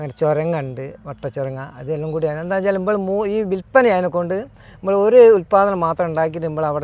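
Pitched fairly high, a man talks in an unremarkable speaking voice with ordinary pitch variation. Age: 50s. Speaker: farmer. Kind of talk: interview.

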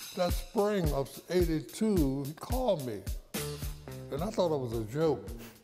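A man speaks with clear music in the background. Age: 80s+. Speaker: saxophonist. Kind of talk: interview. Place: office.

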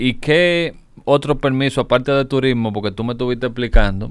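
The speaker is a man. The sound is dry with no echo, and the background is quiet. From Dominican Republic. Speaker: online news show host. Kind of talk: interview. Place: studio. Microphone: studio mic.

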